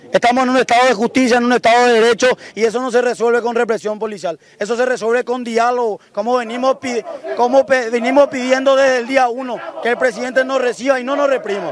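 Speaking at a very fast pace, a man has an extremely high pitch and fairly even intonation. The sound is dry with no echo, though background noise is noticeable. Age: 20s. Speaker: lawyer and protest spokesman; protester spokesman. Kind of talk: street interview. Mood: indignant, urgent. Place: street. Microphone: handheld.

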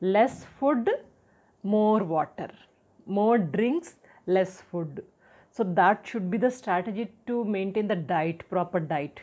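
This woman speaks very slowly in an Indian accent, with lively intonation. Her tone is dark and mellow, and she takes long, frequent pauses. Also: medium pitch for a woman. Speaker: health and personality development educator; personality development educator. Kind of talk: tutorial talk to camera. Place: home room.

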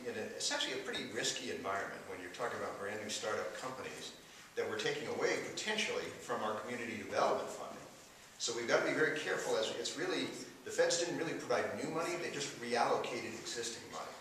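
A man talks at a very fast pace over light background noise, with strong echo filling the room. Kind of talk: press conference answer. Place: classroom.

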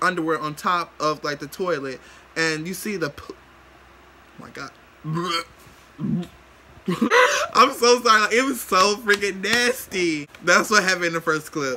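Over noticeable background noise, a man uses a raised, projected voice at a fairly slow pace. His loudness swings widely, and his pauses are long and frequent. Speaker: vlogger. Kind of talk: casual vlog chat. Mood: amused, disgusted. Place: home room. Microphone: phone near.

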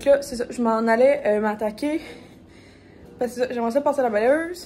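A woman with a Quebec accent, a high pitch and a dark, mellow tone, at a moderate pace with ordinary pitch variation and light background noise. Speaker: lifestyle vlogger. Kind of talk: casual vlog talk to camera. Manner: hesitant, many fillers. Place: home room. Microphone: phone near.

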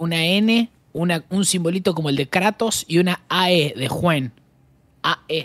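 A man with a high voice talks at a fairly slow pace in an animated tone with ordinary pitch variation. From Argentina. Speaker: streamer. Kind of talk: casual chat while gaming. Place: home room.

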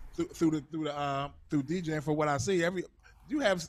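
A man's fairly high-pitched, normal speaking voice with fairly even intonation. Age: 40s. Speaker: interview host and DJ; interview host, DJ. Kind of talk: casual interview. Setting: video call. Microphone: handheld.

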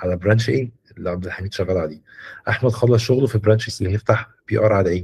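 A man talks at a very fast pace. His voice is somewhat breathy. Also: fairly low pitch for a man, ordinary pitch variation. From Egypt. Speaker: software mentor. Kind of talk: mentoring session. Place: home room. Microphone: video call.

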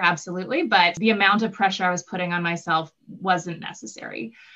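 Against a quiet background, a woman talks at a fairly quick pace. Her voice is fairly low, with a Canadian Prairie accent. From southern Manitoba. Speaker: physician assistant student. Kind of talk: Q&A panel answers. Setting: live online Q&A. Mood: friendly, relaxed. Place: home room. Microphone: video call.

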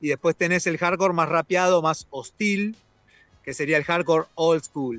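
The speaker moves at a fairly slow pace with ordinary pitch variation. Music plays in the background, and the sound is dry and close with no echo. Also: man, high pitch for a man. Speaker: music festival organizer. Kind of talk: radio interview. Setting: video call; outdoors.

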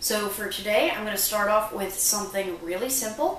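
A woman talks at a fairly quick pace, with audible room echo and light background noise. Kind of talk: tutorial. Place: kitchen. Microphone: camera far.

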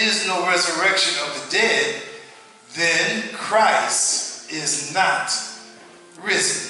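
The speech comes at a very slow pace with ordinary pitch variation. Strong room echo and light background noise fill the recording. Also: man. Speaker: preacher. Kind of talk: scripture reading in a sermon. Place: church.

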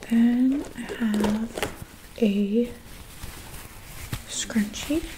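Noticeable background noise sits behind this soft-spoken woman. Her pitch variation is ordinary. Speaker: ASMR creator. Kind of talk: ASMR show-and-tell talk to camera. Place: home room. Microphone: studio mic.

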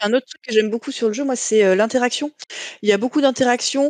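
A woman at a very fast pace, dry with no echo, over a quiet background. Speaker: board game jury member. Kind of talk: casual group discussion about board games. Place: home room. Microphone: video call.

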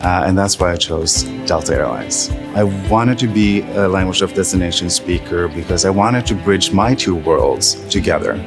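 Clear music plays in the background while a man speaks at a moderate pace in a fairly low pitch with ordinary pitch variation. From Norway. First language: Norwegian. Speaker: flight attendant. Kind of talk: interview answer. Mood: warm, proud, smiling. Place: hall. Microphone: lapel.

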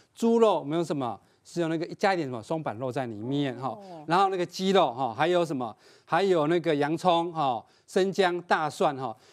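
Against a quiet background, a man with a fairly high pitch talks at a moderate pace with lively intonation. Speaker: agriculture expert guest; guest. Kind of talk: cooking demonstration. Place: studio. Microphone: lapel.

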